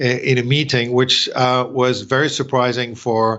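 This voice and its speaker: A man at a medium pitch speaks with a French accent. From France. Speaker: company president. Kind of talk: interview. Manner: halting.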